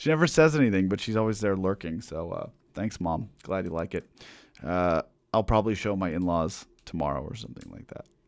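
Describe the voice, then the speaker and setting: A man with a very deep, low pitch speaks at a fairly quick pace in an animated tone. His intonation is lively and his loudness swings widely. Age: 40s. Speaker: musician. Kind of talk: live stream chat. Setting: online live stream. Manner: casual, animated.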